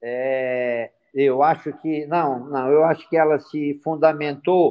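This voice moves at a very slow pace with ordinary pitch variation. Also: man. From Ceará, Brazil. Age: 60s. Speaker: music entrepreneur, band founder. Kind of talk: interview.

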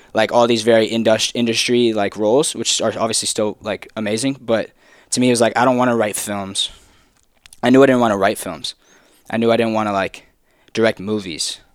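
Talking at a fairly quick pace, a man has a plain, everyday voice with medium pitch and fairly even intonation. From Texas. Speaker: videographer and podcast intern. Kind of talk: casual chat.

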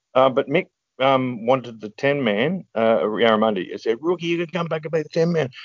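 This man speaks with an Australian accent and a fairly high pitch. He moves at a fairly quick pace with lively intonation. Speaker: former competitive paintball player. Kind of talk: interview. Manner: halting.

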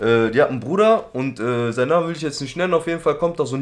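A very fast, fairly high-pitched male voice. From Germany, Duisburg (Ruhr area). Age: 20s. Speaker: former youth offender telling his life story. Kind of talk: casual chat.

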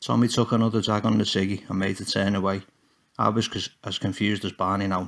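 What you hear is a natural reading voice.

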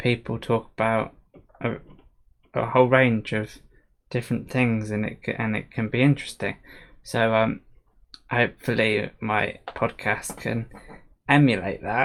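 Monotone, flat intonation at a fairly slow pace, with long, frequent pauses, on a very clean recording with a silent background. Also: man, medium pitch for a man. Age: 20s. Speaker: solo podcaster. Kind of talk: casual solo monologue. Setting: home room, livestream. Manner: halting, many fillers.

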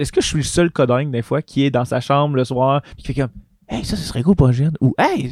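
Ordinary pitch variation comes through in a Quebec accent, with a dry, close sound and no echo. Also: man. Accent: Québécois French. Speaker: nurse and game master. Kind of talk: casual chat.

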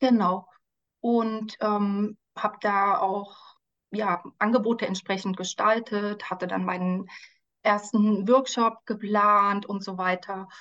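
A woman at medium pitch speaks very slowly in a monotone, flat intonation, with a quiet background. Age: 40s. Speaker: life coach and social worker. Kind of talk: podcast interview. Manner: frequent hesitations (ähm).

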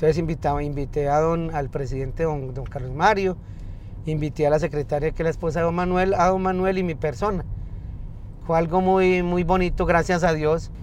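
The speech moves at a fairly quick pace with fairly even intonation. Room echo can be heard. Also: man, high pitch for a man. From Colombia, north of Valle del Cauca. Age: 50s. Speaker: taxi driver. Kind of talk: interview. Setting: in a car. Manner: halting, repeats words.

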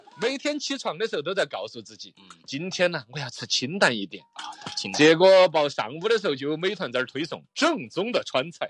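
Music plays in the background as the speaker talks at a fairly quick pace with a Sichuan accent. Loudness swings widely, and pitch swings very widely. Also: man, high pitch for a man. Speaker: radio host. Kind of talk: casual chat.

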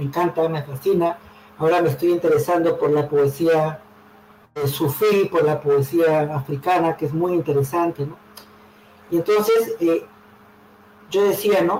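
A man's high voice at a fairly slow pace, fairly even in intonation, with long, frequent pauses and noticeable background noise. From Peru, Callao and Lima. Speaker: poet. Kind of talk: interview.

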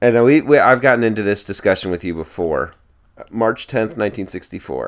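With an ordinary speaking voice, a man talks at a fairly low pitch and a moderate pace, his intonation lively. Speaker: podcast host. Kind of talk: casual chat.

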